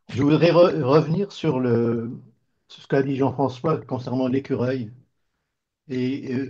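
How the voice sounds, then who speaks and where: A man speaks very slowly at a medium pitch, in a dark, mellow tone. His voice is somewhat breathy, with ordinary pitch variation. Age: 70s. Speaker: participant in discussion group. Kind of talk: group discussion. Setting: video call. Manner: halting, stammering restarts.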